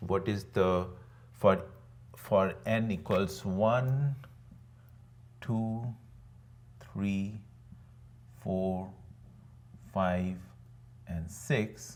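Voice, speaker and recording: A man's fairly low voice with a non-native accent, very slow pace, long and frequent pauses, ordinary pitch variation and audible room echo. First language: not English. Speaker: online teacher. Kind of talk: lecture. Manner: conversational, with frequent fillers.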